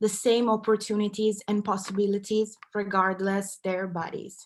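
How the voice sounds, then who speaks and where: A woman with an Italian accent and a fairly high pitch. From Italy, Milan. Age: 20s. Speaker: content creator and activist. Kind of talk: talk.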